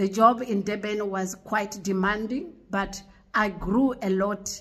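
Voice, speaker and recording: Against a quiet background, a woman's somewhat breathy voice keeps a fairly even intonation. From South Africa. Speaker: online preacher. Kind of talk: religious testimony monologue. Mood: warm, devout, grateful. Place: home room. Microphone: phone near.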